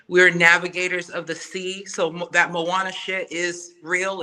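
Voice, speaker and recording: Noticeable background noise surrounds a woman speaking at a moderate pace. Her fairly low voice stays monotone and flat. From Samoa. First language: Samoan. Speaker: podcaster and music artist. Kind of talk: casual chat.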